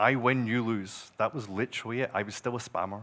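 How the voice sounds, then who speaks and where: With a Scottish accent, a man speaks at a medium pitch and fairly even intonation. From Scotland. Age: 40s. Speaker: growth marketer. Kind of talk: conference talk.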